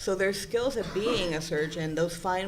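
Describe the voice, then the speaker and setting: Someone with a Spanish accent speaks amid audible room echo. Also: woman. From Puerto Rico. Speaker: psychology presenter. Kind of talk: conference presentation.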